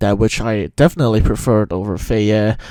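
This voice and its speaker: A man with a dark, mellow tone and fairly low pitch speaks at a moderate pace with fairly even intonation. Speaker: music commentator. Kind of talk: unscripted video commentary. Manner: halting, stuttering. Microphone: recorded with Audacity, new setup.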